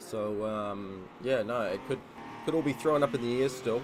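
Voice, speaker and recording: With music playing in the background, a man speaks using ordinary pitch variation. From New Zealand. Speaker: sim racing commentator. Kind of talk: live commentary. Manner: casual, filler-heavy.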